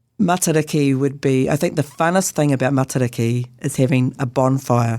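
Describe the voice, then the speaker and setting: A woman with a New Zealand accent speaks at a moderate pace, her pitch very deep and low. Her tone is dark and mellow, with ordinary pitch variation. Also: very even loudness. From New Zealand, Northland (Whangarei). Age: 60s. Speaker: Anglican priest and Māori chaplain. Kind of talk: interview.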